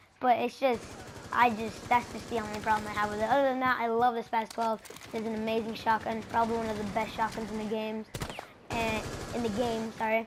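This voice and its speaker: Against noticeable background noise, a woman with a fairly high pitch talks at a fairly quick pace in a monotone, flat intonation. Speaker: gaming YouTuber. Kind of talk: gameplay commentary. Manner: halting, many fillers.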